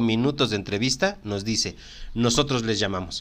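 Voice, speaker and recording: A man speaks with a Mexican accent at a moderate pace. His intonation is lively. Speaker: podcast host, human resources professional. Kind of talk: casual chat.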